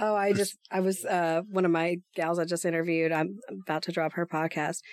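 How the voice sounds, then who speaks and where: At a moderate pace, a woman with a fairly low pitch and fairly even intonation has a plain, everyday voice. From East Texas. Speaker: podcaster. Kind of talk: casual chat.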